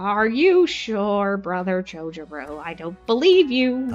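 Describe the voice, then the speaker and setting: Faint music plays behind a woman using a put-on character voice, her medium pitch swinging very widely. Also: fairly slow pace. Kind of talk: read-aloud game dialogue. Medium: game stream.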